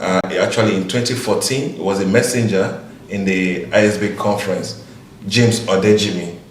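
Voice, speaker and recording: A man speaks at a fairly low pitch with fairly even intonation. Audible room echo and noticeable background noise surround him. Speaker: conference speaker. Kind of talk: casual interview.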